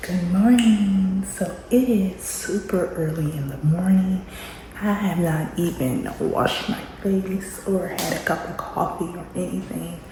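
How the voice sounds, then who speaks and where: A woman whispering at a fairly slow pace, with audible room echo and noticeable background noise. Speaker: homeschooling mom vlogger. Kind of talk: casual vlog narration. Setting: home classroom.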